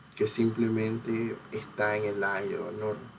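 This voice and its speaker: A man speaks in a Panamanian accent at medium pitch. His intonation stays flat and monotone. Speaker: cultural researcher and video essayist. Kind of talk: educational talk. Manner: hesitant with many fillers.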